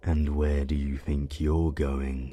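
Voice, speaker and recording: Here a man uses a put-on character voice at a very deep, low pitch. The delivery is monotone and flat. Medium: read story. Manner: menacing.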